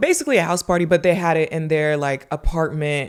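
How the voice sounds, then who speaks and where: A woman with an American accent, very deep and low in pitch, with ordinary pitch variation and a fairly quick pace. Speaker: podcast host. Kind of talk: casual chat. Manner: casual, filler-heavy.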